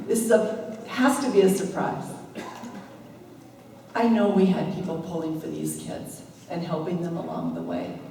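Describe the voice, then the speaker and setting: Background noise is noticeable. The woman's pitch variation is ordinary. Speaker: school principal. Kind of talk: speech at a ceremony.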